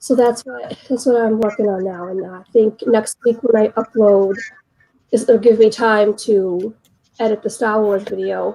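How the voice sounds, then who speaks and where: A woman with an American accent talks at a fairly slow pace. Her pitch is fairly high, her tone dark and mellow, and her intonation monotone and flat. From Boston. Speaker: photographer and small video creator. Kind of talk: casual chat.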